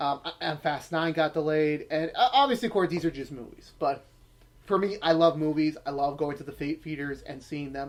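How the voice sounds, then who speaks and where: A man with a fairly high pitch speaks at a moderate pace, his loudness swinging widely while his pitch varies in an ordinary way. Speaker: YouTuber and retail worker. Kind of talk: casual monologue vlog. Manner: halting with many fillers.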